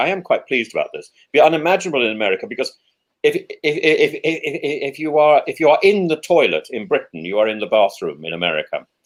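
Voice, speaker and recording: Speaking at a very fast pace, a man has a slight English accent. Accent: slightly plummy English. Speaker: professor and Anglican priest, show host. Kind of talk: casual chat. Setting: live video stream. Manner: stammering, many repeated words.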